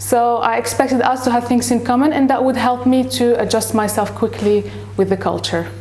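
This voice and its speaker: At a fairly quick pace, a woman with a Moroccan accent keeps her loudness very even, with audible room echo and noticeable background noise. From Morocco. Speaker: English teacher. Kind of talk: interview. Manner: hesitant, with fillers.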